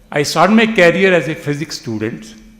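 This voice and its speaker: A man at a moderate pace, with audible room echo. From northern India, family came after partition. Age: 80s+. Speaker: retired professor of computer science. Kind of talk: speech at a reunion event. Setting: hall with audience. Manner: halting, repeats words.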